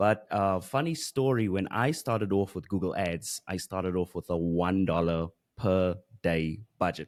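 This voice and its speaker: Speaking at a moderate pace with ordinary pitch variation, a man with a South African accent has a very deep, low pitch, recorded against a quiet background. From South Africa, Johannesburg. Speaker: Google Ads expert and course creator; podcast guest, marketing teacher. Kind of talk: interview. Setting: video call. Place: studio. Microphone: studio mic.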